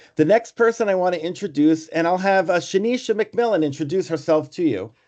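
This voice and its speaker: This man's voice is high-pitched for a man, with a New York accent. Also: ordinary pitch variation, fairly quick pace. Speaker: foundation board member and clinician. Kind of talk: online meeting.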